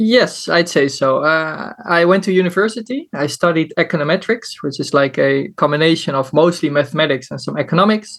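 Speaking at a fairly quick clip with hardly any pauses, a man uses a high voice and ordinary pitch variation. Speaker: amateur poker player and superfan. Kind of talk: interview. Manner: talkative.

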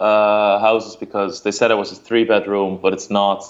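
A man with a Dutch accent speaks at a moderate pace and medium pitch. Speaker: poker streamer. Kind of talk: casual chat. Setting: video call.

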